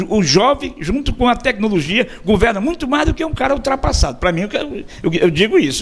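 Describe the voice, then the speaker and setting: A man's pitch swings very widely as he speaks fairly quickly, with noticeable noise behind him. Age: 60s. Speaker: radio host. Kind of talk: interview. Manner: halting, repeats words.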